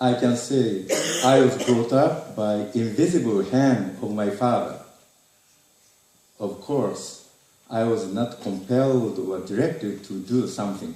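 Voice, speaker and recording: A man with a Japanese accent at medium pitch, ordinary pitch variation, long, frequent pauses and audible room echo. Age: 60s. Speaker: retired teacher. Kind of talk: reading aloud. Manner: halting.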